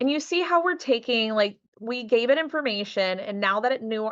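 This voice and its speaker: With a slight Southern US accent, a woman speaks at a fairly quick pace with lively intonation against a quiet background. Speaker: boudoir photographer and business workshop teacher. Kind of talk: workshop tutorial with screen share. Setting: live video recording. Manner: relaxed, casual conversational.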